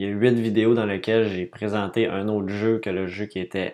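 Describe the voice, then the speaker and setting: This man's voice sits fairly low in pitch. His intonation is fairly even. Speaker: board game podcaster. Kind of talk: casual monologue podcast. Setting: home studio room. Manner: hesitant, many fillers.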